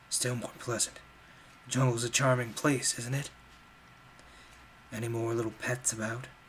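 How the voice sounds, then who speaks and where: A gruff, gravelly put-on character voice moves at a moderate pace with long, frequent pauses over light background noise. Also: man, medium pitch for a man. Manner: dry, sarcastic.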